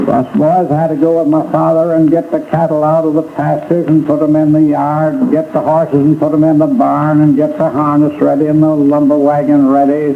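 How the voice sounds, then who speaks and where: This man speaks with an American accent at a fairly quick pace. Noticeable background noise runs under his voice. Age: 80s+. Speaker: fire survivor, retired furniture dealer and former mayor. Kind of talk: oral history interview recollection. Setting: archival recording from 1945. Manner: hesitant, halting speech with fillers.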